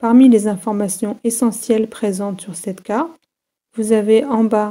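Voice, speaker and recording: Her voice has a dark, mellow tone, and this woman speaks at a fairly high pitch. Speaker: university geology lecturer. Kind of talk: tutorial. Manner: clear, measured explanation.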